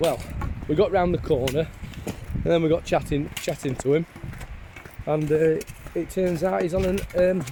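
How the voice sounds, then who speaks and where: A man's fairly high voice with a Yorkshire accent, ordinary pitch variation, a moderate pace and long, frequent pauses. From northern England, Doncaster. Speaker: vlogger. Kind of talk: casual chat. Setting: outdoors.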